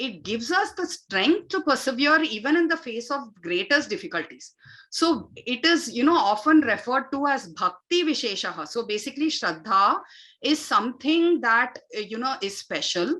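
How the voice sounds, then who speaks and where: The voice is raised and projected, with a bright, sharp tone. Pitch swings very widely at a moderate pace. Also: woman, high pitch for a woman. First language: Tamil. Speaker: yoga and Vedic chant teacher. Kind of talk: spiritual talk / online session. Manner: frequent fillers (uh, you know).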